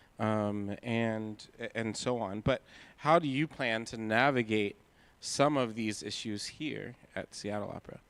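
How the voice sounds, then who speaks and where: Speaking at a fairly slow pace in a normal speaking voice, a man with an American accent keeps a medium pitch and ordinary pitch variation. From Pittsburgh, US. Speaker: moderator. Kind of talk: onstage interview. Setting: hall with live audience.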